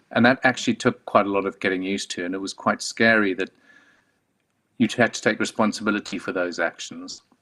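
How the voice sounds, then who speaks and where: A man with a South African accent talks at a fairly quick pace in a fairly low pitch, his intonation fairly even and his tone bright and sharp. The sound is dry and close with no echo, against a quiet background. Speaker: clinical oncologist and medical director. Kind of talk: conference talk. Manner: hesitant, many fillers.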